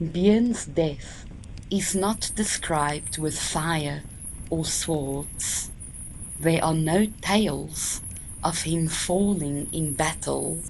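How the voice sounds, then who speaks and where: At a very slow pace, this voice has a soothing, calm tone, vocal fry and ordinary pitch variation. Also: woman, very deep, low pitch for a woman. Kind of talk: sleep story narration. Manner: slow, soothing, calm.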